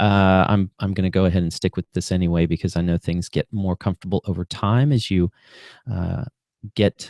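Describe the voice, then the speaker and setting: On a very clean recording with a silent background and a dry, close sound with no echo, a man with a very deep, low pitch talks at a fairly quick pace with fairly even intonation. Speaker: podcast host, counselor. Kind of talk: solo podcast monologue. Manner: fast; hesitant, many filler words.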